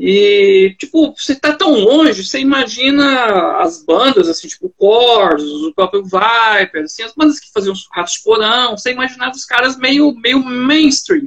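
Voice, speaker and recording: Here a man talks at an extremely high pitch with lively intonation. His pace is fairly slow. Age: 40s. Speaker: podcast host. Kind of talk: casual interview chat. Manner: animated.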